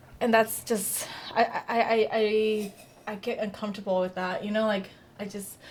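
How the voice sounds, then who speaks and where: A woman's fairly high voice in an American accent, fairly even in intonation, over noticeable background noise. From Long Beach, California, US. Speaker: real estate agent, podcast co-host. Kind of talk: casual chat. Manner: halting, many restarts.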